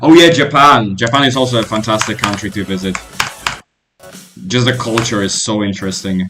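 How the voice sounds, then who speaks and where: Music plays behind a man speaking at a fairly quick pace and medium pitch. His pitch varies in an ordinary way, and he takes long, frequent pauses. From Poland. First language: Polish. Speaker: gaming streamer. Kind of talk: casual live-stream chat while gaming. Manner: casual, with fillers and restarts.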